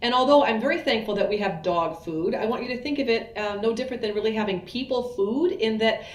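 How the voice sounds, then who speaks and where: Racing along very fast with hardly any pauses, a woman speaks at a fairly high pitch with lively intonation, amid audible room echo and noticeable background noise. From US Midwest, Iowa. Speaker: veterinarian. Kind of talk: educational talk.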